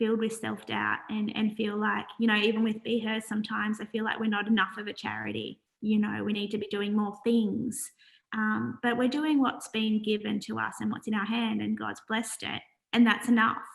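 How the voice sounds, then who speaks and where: Her pitch fairly high, a woman speaks in an Australian accent at a moderate pace, somewhat breathy. The intonation is monotone and flat, and the background is quiet. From Australia, New South Wales (Wollongong). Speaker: charity founder. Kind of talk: interview. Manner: soft-spoken.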